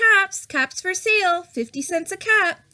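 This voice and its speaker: In a put-on, squeaky character voice, a woman speaks fairly slowly at an extremely high pitch. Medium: read story.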